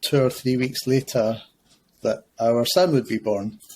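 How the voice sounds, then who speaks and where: A man with a Scottish accent speaks at a medium pitch in a dark, mellow tone. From Scotland, Glasgow. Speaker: school principal. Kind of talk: podcast interview. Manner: hesitant, many fillers.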